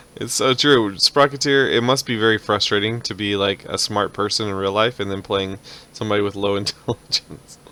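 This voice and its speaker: With an American accent, a man talks at a fairly quick pace in a normal speaking voice, his pitch fairly low and his intonation fairly even. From United States. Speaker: dungeon master streamer. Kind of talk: casual chat.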